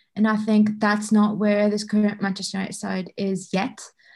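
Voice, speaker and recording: A woman's fairly high, somewhat breathy voice at a fairly slow pace, over a quiet background. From Bahrain. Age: 20s. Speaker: football data analyst. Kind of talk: podcast interview.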